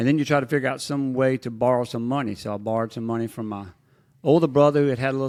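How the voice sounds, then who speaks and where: A man speaks at a very fast pace with a Mississippi accent. His intonation stays fairly even. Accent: Southern US (Mississippi). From Mississippi Delta. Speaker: business executive and former commodities trader. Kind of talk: interview. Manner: relaxed, conversational with frequent fillers.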